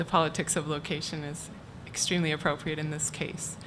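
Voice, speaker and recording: A woman with a very deep, low voice talks at a fairly quick pace, with audible room echo and noticeable background noise. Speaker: archivist at a university library. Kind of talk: conference talk. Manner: soft-spoken.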